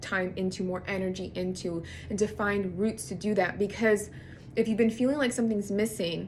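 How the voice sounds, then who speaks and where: With vocal fry, a woman speaks at a medium pitch and with ordinary pitch variation. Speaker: astrologer and tarot reader. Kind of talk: channeled horoscope reading to camera. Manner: fast; casual, rambling with restarts.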